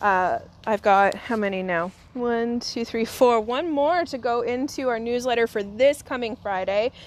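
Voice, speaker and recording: Speaking at a fairly slow pace, a woman with a Canadian accent has a fairly high pitch, ordinary pitch variation, and an ordinary speaking voice. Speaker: fabric reuse shop staff presenter. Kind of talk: live stream product unboxing. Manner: casual, chatty with fillers.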